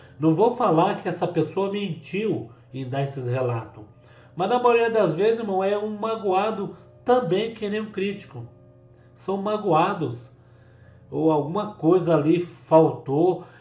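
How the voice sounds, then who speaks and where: A man with a high voice speaks at a fairly slow pace. His intonation is lively, with music in the background. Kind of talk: religious commentary to camera.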